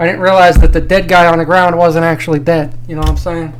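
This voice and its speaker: A man's high-pitched voice at a very fast pace, with noticeable background noise. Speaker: drinking review YouTuber. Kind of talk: casual vlog monologue. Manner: casual, hesitant with fillers.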